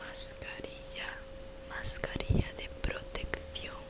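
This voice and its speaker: Over noticeable background noise, the speaker moves at a very slow pace. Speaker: ASMR content creator. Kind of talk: casual talk to camera, ASMR video. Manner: soft-spoken, ASMR-style product description.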